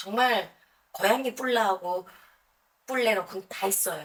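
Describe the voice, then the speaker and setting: A woman talks with a strong North Korean accent. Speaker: YouTuber, North Korean defector singer. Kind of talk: personal storytelling vlog. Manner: conversational, with many self-corrections.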